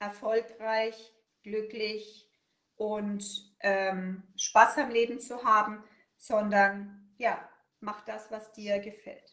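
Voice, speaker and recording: At a very slow pace, a woman talks in a fairly high pitch. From Upper Franconia, Germany. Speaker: burnout prevention consultant. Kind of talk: interview.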